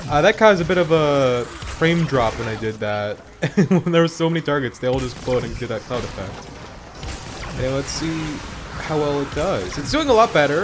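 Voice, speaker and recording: The speaker keeps a moderate pace with very wide pitch swings, over noticeable background noise. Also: man, fairly high pitch for a man. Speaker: gaming youtuber. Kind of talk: gameplay commentary. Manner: casual, hesitant with fillers.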